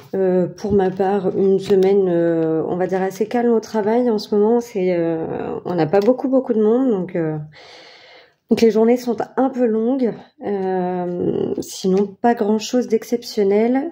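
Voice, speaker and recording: A woman at a medium pitch talks very slowly, her pitch varying in an ordinary way. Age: 30s. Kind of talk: casual talk to camera. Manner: casual, hesitant with many fillers.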